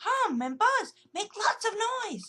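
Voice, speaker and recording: The voice is a squeaky, put-on character voice. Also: woman. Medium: read story.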